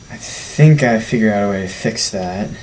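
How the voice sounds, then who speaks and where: A man's fairly low voice with ordinary pitch variation over music in the background. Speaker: youth sermon vlogger. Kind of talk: casual talk to camera.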